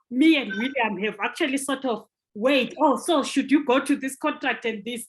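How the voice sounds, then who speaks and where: Speech comes at a moderate pace. Its pitch moves in an ordinary way. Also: woman. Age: 50s. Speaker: podcast moderator. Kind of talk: casual chat.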